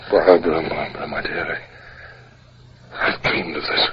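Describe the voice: A man's put-on character voice, extremely low in pitch, with little pitch movement, a husky, rough edge and a moderate pace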